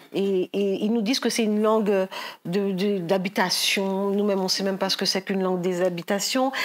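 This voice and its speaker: A woman speaks at a fairly quick pace in a medium pitch, with very even loudness and monotone, flat intonation. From Paris suburbs, France (Guadeloupean family). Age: 60s. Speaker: novelist. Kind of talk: onstage author interview. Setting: library event with live audience. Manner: hesitant, many repetitions.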